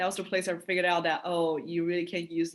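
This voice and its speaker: A woman with a fairly low pitch speaks in a Chinese accent. Her pace is very fast. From China. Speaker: university student. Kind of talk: interview testimonial.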